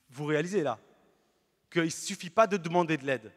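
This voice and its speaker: A man speaks in a high voice with an animated tone. His pace is fairly quick over a quiet background. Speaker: Protestant pastor. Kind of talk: sermon. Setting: church. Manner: animated, earnest preaching with emphatic repetition; lively, illustrates points with everyday stories. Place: church. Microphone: handheld.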